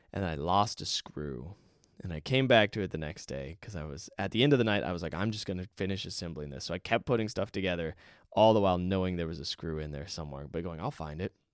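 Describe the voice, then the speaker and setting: Very deep and low, a man's voice races at a very fast pace with lively intonation. The recording is very clean, with a silent background. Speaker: indie game developer and podcast host. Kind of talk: solo podcast monologue. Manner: rushed; scripted delivery in main part, off the cuff at end.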